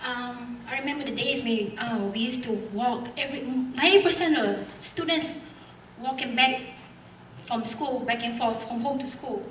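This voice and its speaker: A woman with a non-native accent speaks at a moderate pace and a high pitch. Audible room echo and noticeable background noise come through. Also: ordinary pitch variation. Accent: foreign. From Singapore. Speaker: member of the public speaking at hearing. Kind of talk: public comment at hearing. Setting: school hall public hearing.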